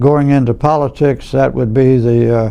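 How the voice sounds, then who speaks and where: A medium-pitched man with a Louisiana accent. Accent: Southern US (Louisiana). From US South, Louisiana (Franklinton). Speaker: oral history interviewee, lawyer. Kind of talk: oral history interview. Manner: halting, many fillers.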